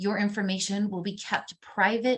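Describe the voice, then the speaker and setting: Moderately paced speech from a woman, her voice somewhat breathy. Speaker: university instructor. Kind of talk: online class lecture. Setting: recorded video call. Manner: casual and upbeat.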